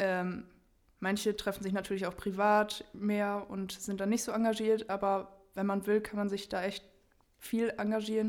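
A woman's medium-pitched voice stays monotone and flat as she talks at a moderate pace. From Germany. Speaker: university student. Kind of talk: casual chat.

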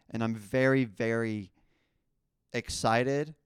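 In a New Jersey accent, a man of medium pitch speaks in an animated tone. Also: dry, close sound with no echo, very clean recording, silent background. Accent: New Jersey American. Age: 20s. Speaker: podcast host. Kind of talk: casual solo monologue.

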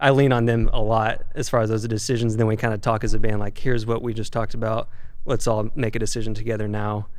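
A man with an American accent, medium pitch, monotone and flat intonation and a very fast pace, with audible room echo. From Arkansas, US South. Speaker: touring rock drummer. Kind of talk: casual interview.

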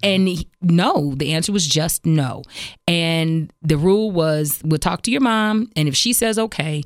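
On a very clean recording with a silent background, a woman with an unremarkable speaking voice talks at a fairly low pitch with lively intonation. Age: 40s. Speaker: radio host. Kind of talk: casual chat.

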